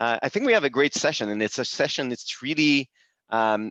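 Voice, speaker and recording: A man speaks with a Quebec accent. His voice sits at medium pitch. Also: dry, close sound with no echo. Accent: French-Canadian accent in English. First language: French. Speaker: business executive. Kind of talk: webinar presentation. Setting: video call. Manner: halting, many fillers.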